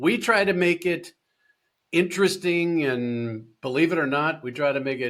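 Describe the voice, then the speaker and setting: With an American accent, a man talks at a moderate pace in a plain, everyday voice, fairly high in pitch with ordinary pitch variation. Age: 60s. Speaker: accountant and company founder. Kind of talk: podcast interview.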